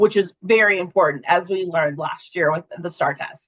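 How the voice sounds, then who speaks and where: A woman's unremarkable speaking voice at a moderate pace, with lively intonation and a dry, close sound with no echo. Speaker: webinar presenter for an education company. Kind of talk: webinar presentation.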